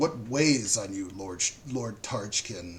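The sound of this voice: Putting on a character voice, a man speaks very slowly in a raspy, fairly low pitch.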